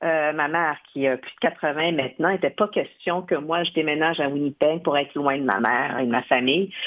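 This woman's pitch is very deep and low. It shows ordinary variation. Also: moderate pace. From Quebec, Odanak First Nation. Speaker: television network executive. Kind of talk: interview.

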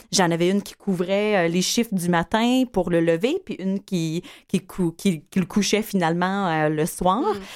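In a very clean recording with a silent background, a woman at medium pitch uses a normal speaking voice, speaking at a fairly slow pace with ordinary pitch variation. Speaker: entrepreneur, home care company founder. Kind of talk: interview.

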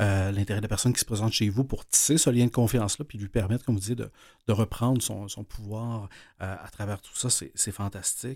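Speaking at a fairly quick clip with a Quebec accent, the voice is somewhat breathy, keeps a fairly even intonation and swings widely in loudness, all on a very clean recording with a silent background. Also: man, fairly low pitch for a man. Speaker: radio host. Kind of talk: interview. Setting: studio.

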